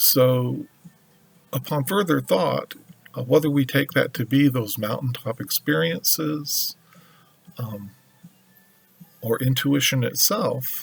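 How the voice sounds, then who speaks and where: Over music in the background, a man with a medium pitch speaks very slowly with long, frequent pauses and lively intonation. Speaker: tarot reader. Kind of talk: tarot reading monologue. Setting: at home altar with music playing. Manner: slow with pauses; hesitant with fillers.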